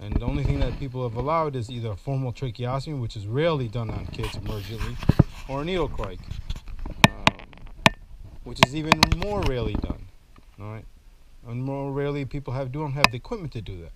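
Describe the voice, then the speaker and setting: A man talks at a very fast pace with long, frequent pauses, his loudness swinging widely, over audible room echo and noticeable background noise. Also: medium pitch for a man. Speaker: airway medicine educator. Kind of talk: whiteboard lecture. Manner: monotone.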